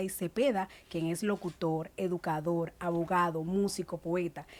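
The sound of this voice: At a moderate pace, a woman speaks in a fairly low voice with fairly even intonation.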